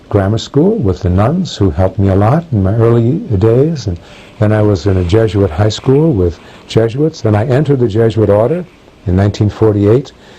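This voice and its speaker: With lively intonation and very even loudness, the speaker moves at a fairly quick pace over noticeable background noise. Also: man. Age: 60s. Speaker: professor of religion. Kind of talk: interview answering prepared questions. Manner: halting with many fillers.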